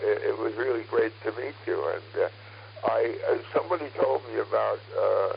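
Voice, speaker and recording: Over noticeable background noise, a man talks at a moderate pace with hardly any pauses. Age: 80s+. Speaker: ham radio operator. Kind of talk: radio net conversation. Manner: halting.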